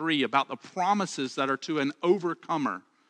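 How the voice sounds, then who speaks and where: A man with a Southern US accent, fairly high-pitched and bright, sharp in tone, dry and close with no echo, over a quiet background. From Alabama. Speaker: pastor. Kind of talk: sermon. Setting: church, livestreamed online.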